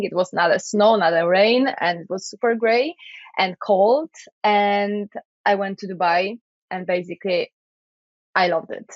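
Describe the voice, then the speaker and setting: A woman talks in a Polish accent at a medium pitch. Her pace is moderate, and her pitch varies in an ordinary way. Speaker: IT project manager and podcaster. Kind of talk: interview.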